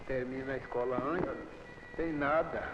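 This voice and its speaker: A man talks at a fairly slow pace with fairly even intonation, with audible room echo and noticeable background noise. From Brazil, Goiás, rural Luziânia. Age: 60s. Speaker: farmer. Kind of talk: documentary interview.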